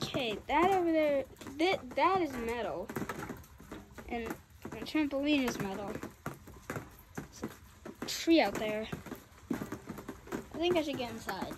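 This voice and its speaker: Against noticeable background noise, the speech moves at a very slow pace with long, frequent pauses. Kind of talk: casual vlog chat. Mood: nervous, scared of lightning. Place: garden. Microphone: phone near.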